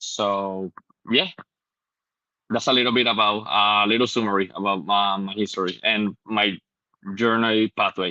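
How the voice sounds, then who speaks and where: A man speaks with a Spanish accent at a moderate pace. His pitch is fairly low and his intonation fairly even. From Puerto Rico. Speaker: medical student. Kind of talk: personal introduction. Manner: halting.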